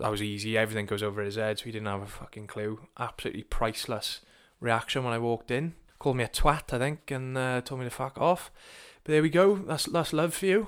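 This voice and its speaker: Delivered at a very fast pace with lively intonation, the speech comes in a Welsh accent on a very clean recording with a silent background. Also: man, medium pitch for a man. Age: 20s. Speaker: personal trainer. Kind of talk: casual monologue. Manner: informal, sweary.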